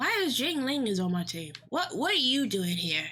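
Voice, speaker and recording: Music plays in the background. A woman's voice moves through very wide pitch swings. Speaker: vtuber streamer. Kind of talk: gaming livestream chat. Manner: animated, excitable; giddy.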